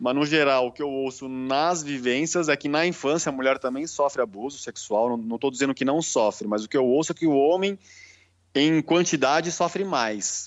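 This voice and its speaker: A man's ordinary speaking voice, pitched fairly high, with ordinary pitch variation and a moderate pace. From Brazil, São Paulo. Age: 30s. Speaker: holistic therapist. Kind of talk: casual interview.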